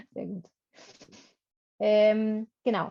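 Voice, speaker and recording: Somewhat breathy, with a dark, mellow tone, a woman speaks at a very slow pace. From Berlin, Germany. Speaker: workshop presenter, former German teacher. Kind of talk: online workshop presentation.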